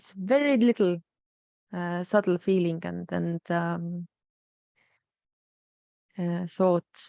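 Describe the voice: Slow and broken by long, frequent pauses, a woman speaks in a fairly low voice with vocal fry, fairly even intonation and a dark, mellow tone, the sound dry and close with no echo.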